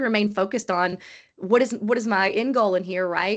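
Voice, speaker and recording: A woman's voice with ordinary pitch variation against a quiet background. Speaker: HR executive, panel speaker. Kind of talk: panel discussion on video call. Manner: fast.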